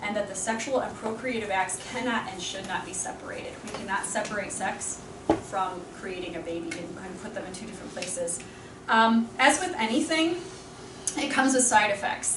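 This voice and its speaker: In a space with audible room echo and noticeable background noise, a woman with a fairly high pitch speaks at a fairly quick pace, her lively intonation carrying big swings in loudness. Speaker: catechist. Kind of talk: lecture. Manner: fast.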